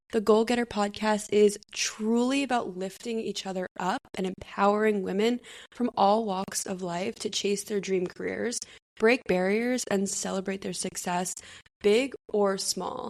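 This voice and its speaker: Her voice is an ordinary speaking voice, pitched in the medium range. The woman talks at a fairly slow pace, and her intonation stays fairly even. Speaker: podcast co-host. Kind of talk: casual chat; scripted podcast intro.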